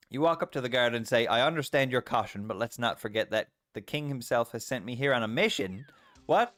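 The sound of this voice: An unforced reading voice with ordinary pitch variation is heard over a quiet background.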